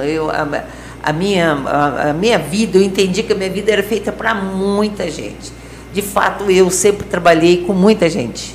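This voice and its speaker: Noticeable background noise and audible room echo accompany a woman speaking at a moderate pace in a fairly low pitch. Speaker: nun and social project founder. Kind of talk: interview. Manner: halting.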